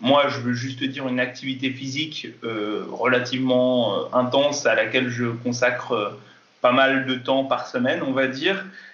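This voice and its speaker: This man has a medium pitch and speaks at a fairly slow pace. Audible room echo surrounds his voice. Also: fairly even intonation. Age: 20s. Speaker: kendo athlete and fitness coach. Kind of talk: interview. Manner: hesitant, many fillers.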